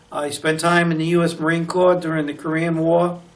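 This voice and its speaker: A man's fairly high voice with an American accent, at a moderate pace, with audible room echo and noticeable background noise. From US Northeast, Newport, Rhode Island. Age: 80s+. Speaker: retired teacher and museum docent. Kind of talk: oral history interview. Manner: hesitant, many filler words.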